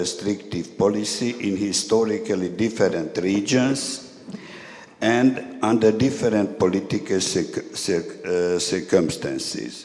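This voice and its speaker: Over noticeable background noise and audible room echo, a man with a Hungarian accent speaks fairly slowly at a medium pitch with ordinary pitch variation. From Hungary. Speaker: historian and activist. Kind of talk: conference speech read from text. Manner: halting.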